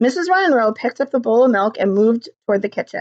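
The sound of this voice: An unforced reading voice with lively intonation is heard against a quiet background.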